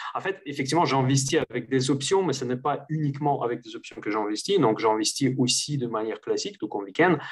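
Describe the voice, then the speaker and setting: A man speaks with a slight Russian accent, his voice somewhat breathy and fairly high in pitch. He barely pauses, and his pitch varies in an ordinary way. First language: Russian (speaking French). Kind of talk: interview conversation. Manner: hesitant, many fillers.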